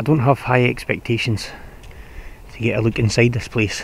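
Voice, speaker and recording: A man at a moderate pace with ordinary pitch variation, dry sound with no echo and light background noise. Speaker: urban explorer vlogger. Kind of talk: casual vlog commentary. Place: forest. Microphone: phone near.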